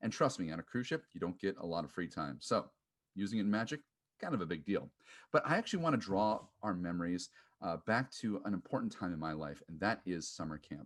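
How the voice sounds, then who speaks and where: A man with an American accent speaks at a very fast pace, his pitch fairly low and his intonation lively. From US Upper Midwest. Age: 30s. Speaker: podcast host. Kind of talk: audition video monologue.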